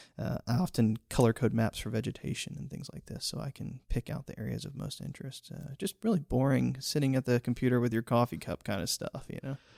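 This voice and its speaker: A man talks very fast with hardly any pauses, using a medium pitch, ordinary pitch variation and big swings in loudness. His dark, mellow tone carries vocal fry, and the sound is dry and close with no echo. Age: young. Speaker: amateur botanist. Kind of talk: interview. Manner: animated.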